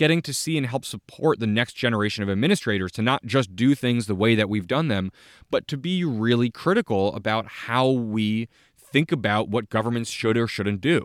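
Speaking at a moderate pace and a medium pitch, a man uses a plain, everyday voice with ordinary pitch variation, the sound dry and close with no echo. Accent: American. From New Jersey, US. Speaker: podcast host, former mayor and town manager. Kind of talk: solo autobiographical monologue.

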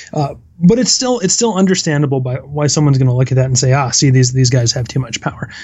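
With hardly any pauses, a man speaks at a very fast pace in a fairly high, somewhat breathy voice. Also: ordinary pitch variation. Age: 30s. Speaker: academic. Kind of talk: casual chat.

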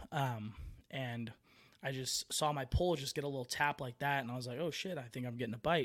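A man with an American accent and a plain, everyday voice, medium in pitch, fairly quick, with fairly even intonation, on a very clean recording with a silent background. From San Francisco Bay Area, California. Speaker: podcast host, angler.

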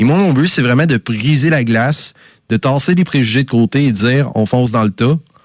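A normal speaking voice moves at a fairly quick pace with ordinary pitch variation and very even loudness. The sound is dry and close with no echo, against a quiet background. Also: man, medium pitch for a man. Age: 30s. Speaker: campus radio host. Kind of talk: radio music show presenting.

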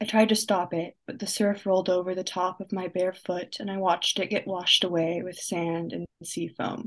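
A plain, everyday voice moves at a moderate pace with fairly even intonation and hardly any pauses. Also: woman, medium pitch for a woman. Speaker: young poet and writer, college student. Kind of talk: spoken word poetry reading. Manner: reflective, measured, dry-humored, poetic cadence.

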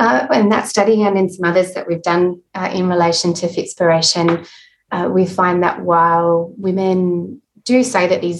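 With an Australian accent, a woman speaks at a moderate pace in a fairly low pitch and fairly even intonation. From Adelaide, South Australia. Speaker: health psychology professor. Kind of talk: interview.

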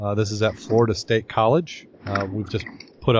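This is plain reading aloud. The text is read out directly.

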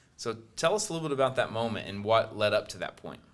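Using an ordinary speaking voice, a man speaks at a medium pitch with ordinary pitch variation. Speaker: podcast host. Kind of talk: casual interview.

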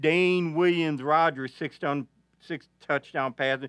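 With an Arkansas accent, a man speaks at a moderate pace with fairly high pitch and ordinary pitch variation, in a dry, close sound with no echo and a quiet background. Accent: Arkansas Southern US. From northeast Arkansas. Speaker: veteran sports reporter. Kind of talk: casual sports talk. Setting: studio. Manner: halting.

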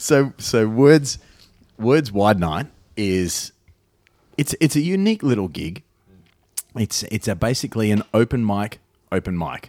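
In a dry, close sound with no echo, a man with a medium pitch and lively intonation speaks at a fairly slow pace, taking long, frequent pauses. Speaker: podcast host. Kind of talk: casual comedic chat. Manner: joking, self-deprecating.

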